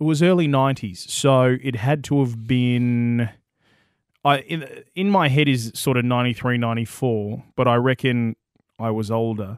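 Speaking with an Australian accent, a man keeps a fairly slow pace, a medium pitch and ordinary pitch variation. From Western Australia. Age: younger than co-host. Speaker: gaming podcast co-host. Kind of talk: casual chat. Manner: enthusiastic.

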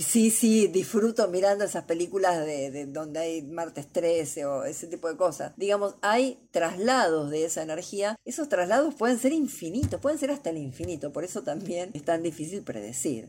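The tone is dark and mellow, with very wide pitch swings. The speech moves at a moderate pace with hardly any pauses. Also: woman, fairly low pitch for a woman. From Argentina, Buenos Aires. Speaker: astrologer. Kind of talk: interview.

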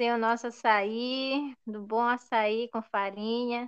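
A woman speaks very slowly with a Pará accent, her pitch fairly high. Her tone is bright and sharp, and her intonation stays flat and monotone. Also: quiet background. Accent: Brazilian Portuguese, Pará (paraense). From Brazil, Ananindeua, Pará. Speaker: podcast host, teacher. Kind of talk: casual chat.

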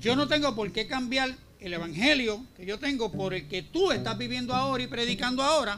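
A man talks in a raised, projected voice with an extremely high pitch and lively intonation. His pace is fairly quick, with noticeable background noise. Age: 60s. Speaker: preacher. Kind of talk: sermon. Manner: forceful, confrontational.

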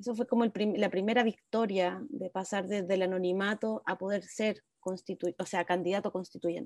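A woman's dark, mellow tone in a dry, close sound with no echo. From Chile, Viña del Mar. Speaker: constitutional convention member and history teacher. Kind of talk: interview. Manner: halting, frequent repetitions.

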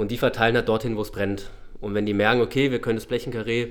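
A man's plain, everyday voice, medium in pitch, with fairly even intonation. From Baden, southwest Germany (Freiburg). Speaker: shopping center manager. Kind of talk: podcast interview. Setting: studio.

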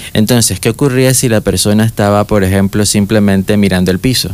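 It is a normal speaking voice, a man's, fairly low in pitch. He talks at a fairly quick pace with ordinary pitch variation. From Panama, David (Chiriquí). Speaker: young engineer. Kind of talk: interview. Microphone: far from the mic.

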